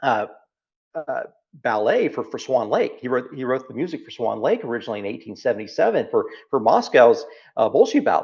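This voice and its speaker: A man with a Texas accent at a fairly quick pace, over a quiet background. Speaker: founder and business leader. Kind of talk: interview conversation. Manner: animated, repetitive phrasing.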